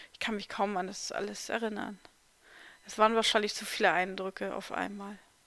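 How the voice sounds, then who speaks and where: Speaking at a moderate pace, a woman with a medium pitch has a bright, sharp tone and vocal fry. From eastern Germany, near Magdeburg. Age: 40s. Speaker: podcaster sharing life story. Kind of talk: personal memoir narration.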